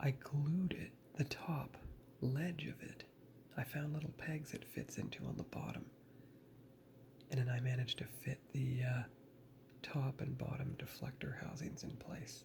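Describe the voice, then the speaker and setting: A man speaks at a fairly slow pace with vocal fry. His intonation is fairly even, broken by long, frequent pauses. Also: medium pitch for a man. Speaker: model building hobbyist youtuber. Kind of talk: tutorial. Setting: parents' home.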